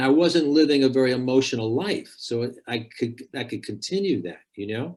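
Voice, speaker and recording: Talking at a fairly quick pace with lively intonation, this man has a plain, everyday voice and an American accent. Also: medium pitch for a man. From United States. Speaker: life coach. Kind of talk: conversational interview.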